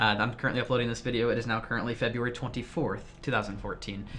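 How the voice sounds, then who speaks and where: A very fast man's voice, medium in pitch, with a bright, sharp tone. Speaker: gaming YouTuber and streamer. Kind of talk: casual vlog talk to viewers.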